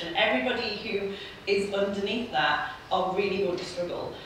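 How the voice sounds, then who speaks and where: At a moderate pace, a woman speaks at a medium pitch amid strong room echo and light background noise. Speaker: political economist. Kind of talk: panel discussion. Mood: earnest, frustrated. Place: hall.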